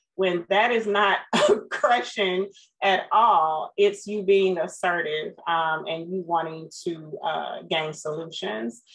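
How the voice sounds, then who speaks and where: This woman has an unremarkable speaking voice, medium in pitch with ordinary variation. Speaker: podcast co-host; former school staff. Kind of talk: casual interview.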